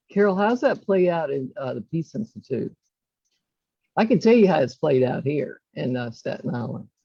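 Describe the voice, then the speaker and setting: A woman with a Southern US accent talks at a moderate pace, her very deep, low pitch swinging very widely, with a dark, mellow tone and vocal fry. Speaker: mediator. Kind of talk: panel discussion.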